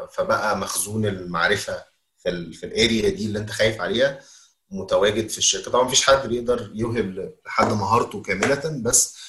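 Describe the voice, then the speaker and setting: A man with a medium pitch talks at a fairly quick pace, his tone bright and sharp and his intonation lively. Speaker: learning and development manager. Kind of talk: interview.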